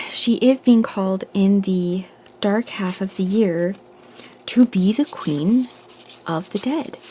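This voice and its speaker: A woman at a very slow pace, with long, frequent pauses, ordinary pitch variation and noticeable background noise. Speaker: tarot reader. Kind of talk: collective tarot reading. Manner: meandering, thinking aloud.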